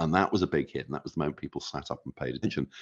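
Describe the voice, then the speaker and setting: Vocal fry marks this man's very deep, low pitch, which has ordinary pitch variation. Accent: British. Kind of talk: interview.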